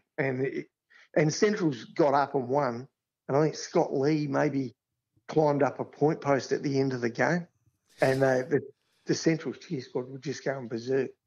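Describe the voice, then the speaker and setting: A fairly high-pitched male voice at a moderate pace, with ordinary pitch variation. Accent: Australian. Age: 60s. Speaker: grounds manager. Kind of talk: casual chat.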